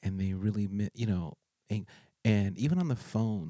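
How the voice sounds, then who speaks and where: Dry and close with no echo, a man's fairly low voice has a dark, mellow tone and ordinary pitch variation. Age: 40s. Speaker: podcast host, street and prison minister. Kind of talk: casual chat.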